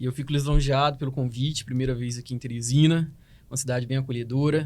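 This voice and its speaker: Somewhat breathy and monotone, with flat intonation, the speech moves at a fairly quick pace. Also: man. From Goiânia, Brazil. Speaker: hospital dentist. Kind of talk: podcast interview.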